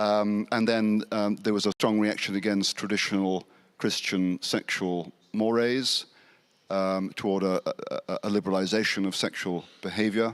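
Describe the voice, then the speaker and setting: Speaking with a British accent, a man keeps a monotone, flat intonation and very even loudness at a fairly low pitch, the sound dry and close with no echo. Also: moderate pace. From England. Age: 60s. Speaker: Anglican priest and academic. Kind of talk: panel discussion. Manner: halting, many fillers.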